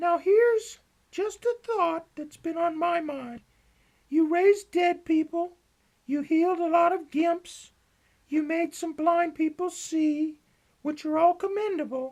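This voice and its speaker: This is a put-on character voice that sounds female. It is squeaky and extremely high in pitch. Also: fairly slow pace. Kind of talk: comic deadpan parody. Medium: comedy sketch. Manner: slangy, enthusiastic, echoing.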